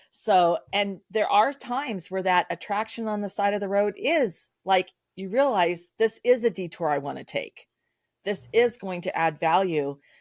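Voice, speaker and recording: On a very clean recording with a silent background and a dry, close sound with no echo, a normal speaking voice moves at a fairly slow pace with lively intonation. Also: woman. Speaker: sales coach and business founder. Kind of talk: podcast interview.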